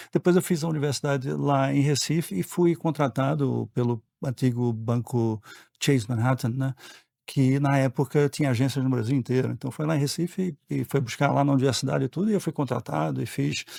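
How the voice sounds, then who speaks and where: Speaking at a fairly quick pace, a man with a medium pitch and a dark, mellow tone shows ordinary pitch variation in a very clean, dry, close recording with a silent background and no echo. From Brazil, Pernambuco, raised also in Rio and São Paulo. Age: 60s. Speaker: board member. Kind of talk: podcast interview.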